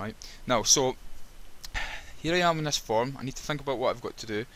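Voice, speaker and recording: A man talks with a Scottish accent and ordinary pitch variation. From Scotland. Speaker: web developer. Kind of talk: screen-recorded coding tutorial with commentary. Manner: halting, frequent repetitions and fillers.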